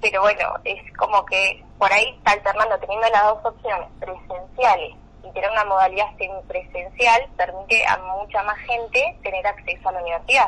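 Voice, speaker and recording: The woman has an ordinary speaking voice at medium pitch. She talks at a fairly quick pace. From Argentina, Valle Medio, Río Negro. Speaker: law student and student union president. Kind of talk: radio interview.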